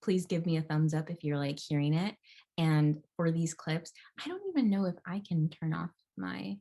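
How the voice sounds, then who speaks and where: Ordinary pitch variation marks an ordinary speaking voice moving at a moderate pace. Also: woman, fairly low pitch for a woman. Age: 20s. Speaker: digital content creator and organizer; vegan chef. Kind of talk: casual guest lecture over video call. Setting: video call.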